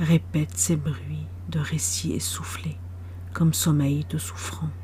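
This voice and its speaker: Lively intonation runs through very slow speech, with audible room echo and noticeable background noise. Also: woman, very deep, low pitch for a woman. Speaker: poet. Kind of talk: poetry reading.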